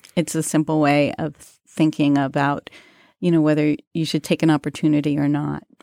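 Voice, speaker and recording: On a very clean recording with a silent background, a woman with an American accent speaks at a moderate pace in a very deep, low pitch, with a dark, mellow tone and monotone, flat intonation. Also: dry, close sound with no echo. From New York City, Queens. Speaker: magazine editor. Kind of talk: casual interview.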